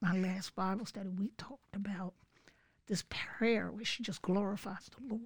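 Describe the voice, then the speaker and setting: A woman with an American accent speaks at a medium pitch, her intonation fairly even and her voice somewhat breathy. The recording is very clean, with a silent background. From Philadelphia, US. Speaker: churchgoer sharing testimony. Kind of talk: testimony.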